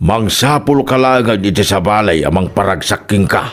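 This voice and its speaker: A man puts on a character voice, speaking at a moderate pace with a fairly low pitch. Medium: audio drama. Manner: teasing, lazy.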